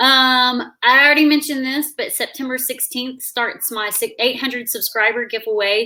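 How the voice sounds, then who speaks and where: Raising and projecting her high voice, a woman with a Southern US accent talks at a moderate pace with hardly any pauses, ordinary pitch variation and a bright, sharp tone. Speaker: YouTuber hosting a live stream. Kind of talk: casual chat. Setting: online live stream.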